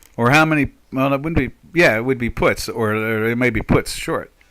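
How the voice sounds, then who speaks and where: The tone of this man's voice is bright and sharp. He talks at a moderate pace. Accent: American. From South Jersey, Pinelands. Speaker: trader. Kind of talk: live trading stream chat. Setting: live stream. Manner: halting, many fillers.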